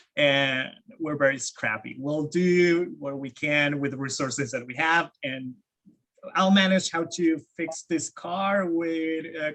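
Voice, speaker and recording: A man with a Spanish accent, fairly high in pitch, at a fairly slow pace with ordinary pitch variation. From Argentina, Buenos Aires. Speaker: game industry employee, panelist. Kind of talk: panel discussion.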